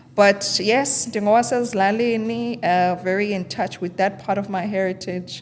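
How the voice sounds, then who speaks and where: Over noticeable background noise, a woman with a medium pitch and fairly even intonation talks at a moderate pace with hardly any pauses. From South Africa, Eastern Cape (Transkei). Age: 30s. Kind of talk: interview.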